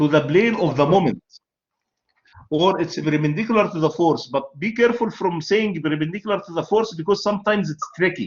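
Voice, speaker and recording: A man's high voice with an Arabic accent, at a fairly quick pace and with ordinary pitch variation. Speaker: university lecturer. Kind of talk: lecture.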